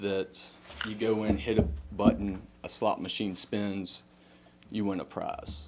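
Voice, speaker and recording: A man talks at a moderate pace. He speaks with a Southern US accent. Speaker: business owner speaking at town council. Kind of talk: public comment at council meeting. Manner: halting.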